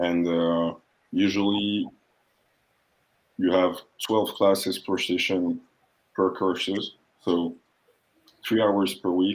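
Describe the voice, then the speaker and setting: Over background music, a man with a French accent speaks fairly slowly in a very deep, low voice with monotone, flat intonation. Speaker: international student. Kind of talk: interview / panel talk.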